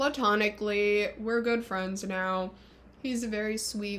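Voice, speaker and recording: A woman's voice at a medium pitch carries audible room echo. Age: 20s. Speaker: vlogger. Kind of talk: casual monologue vlog. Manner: animated.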